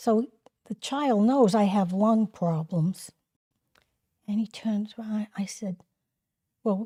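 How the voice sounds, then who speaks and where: Somewhat breathy and dark, mellow in tone, a woman talks at a very slow pace with long, frequent pauses, a fairly high pitch and ordinary pitch variation, in a dry, close sound with no echo. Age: 70s. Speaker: grandmother sharing stories. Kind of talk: casual chat. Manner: animated.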